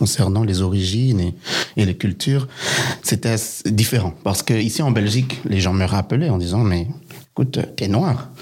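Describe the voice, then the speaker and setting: Noticeable noise fills the background. Through it, a man's voice is heard. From Belgium. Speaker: son of refugees. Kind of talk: testimony.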